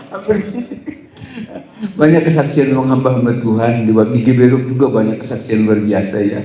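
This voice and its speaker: A West Javanese accent at a fairly quick pace, with lively intonation, audible room echo and noticeable background noise. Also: man, medium pitch for a man. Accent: Sundanese. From Batak, North Sumatra. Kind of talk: event hosting.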